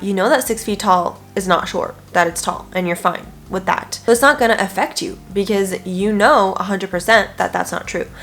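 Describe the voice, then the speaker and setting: A woman talks at a moderate pace with hardly any pauses. Noticeable background noise runs under her voice. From France. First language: French. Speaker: nutrition coach and lifestyle video creator. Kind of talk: self-help talk to camera. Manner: casual, conversational.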